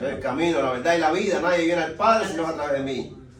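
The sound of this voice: Audible room echo surrounds a man speaking fast at a fairly high pitch with lively intonation.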